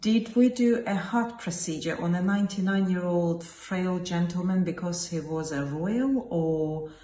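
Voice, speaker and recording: A woman speaks very slowly, with lively intonation and a fairly low pitch. Noticeable background noise sits behind her. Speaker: consultant geriatrician, hospital doctor. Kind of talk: casual talk to camera, opinion piece. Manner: earnest, reflective.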